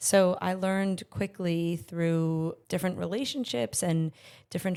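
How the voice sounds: A woman speaks at a fairly low pitch and fairly slow pace, with fairly even intonation. Her tone is clear, smooth and slightly mellow yet raspy, on a very clean recording with a silent background.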